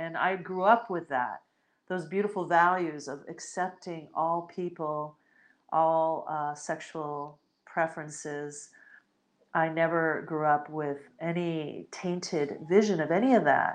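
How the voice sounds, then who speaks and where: A woman in a fairly low pitch, at a fairly slow pace with fairly even intonation, against a quiet background. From United States, Puerto Rican and Spanish family. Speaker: podcast host, spiritual teacher. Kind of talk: solo podcast monologue, live. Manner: hesitant, many fillers.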